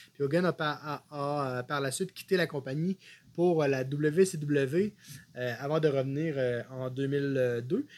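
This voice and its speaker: A man at a fairly high pitch and a very slow pace, with fairly even intonation, in a very clean recording over a silent background. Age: 30s. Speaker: wrestling podcast co-host. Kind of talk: casual chat.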